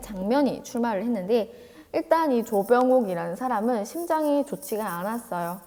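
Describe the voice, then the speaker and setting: A woman's fairly high, dark, mellow voice at a moderate pace, with lively intonation. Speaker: teacher. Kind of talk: lecture.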